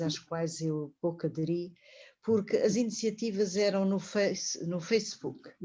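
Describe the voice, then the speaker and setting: A woman speaks at a fairly slow pace in a dark, mellow tone. Her voice is somewhat breathy, with ordinary pitch variation. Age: 70s. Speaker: retired teacher and women's studies researcher. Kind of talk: online panel discussion.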